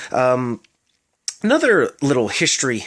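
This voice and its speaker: This is a man speaking with an American accent. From US South. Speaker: vlogger. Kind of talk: casual talk to camera. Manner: halting, many fillers.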